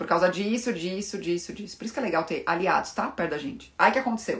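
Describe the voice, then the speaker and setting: Very fast and lively, a woman talks at a medium pitch. Her tone is bright and sharp. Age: 30s. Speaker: fashion and style consultant. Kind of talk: casual live-stream talk to viewers.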